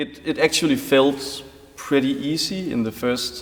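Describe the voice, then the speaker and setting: At a fairly slow pace, a man talks with a Danish accent. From Denmark. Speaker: concert pianist. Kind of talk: interview.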